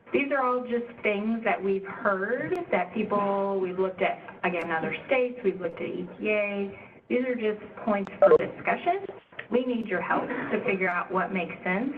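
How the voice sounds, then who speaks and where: Over noticeable background noise, a woman speaks at a medium pitch and a moderate pace with ordinary pitch variation. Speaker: state agency staff presenting at stakeholder meeting. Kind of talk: presentation at public meeting.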